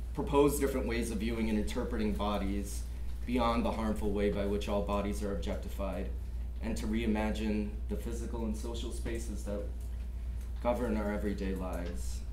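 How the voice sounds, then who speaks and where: A man's very deep, low voice at a fairly quick pace, monotone and flat, with audible room echo and light background noise. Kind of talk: lecture. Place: classroom. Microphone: camera far.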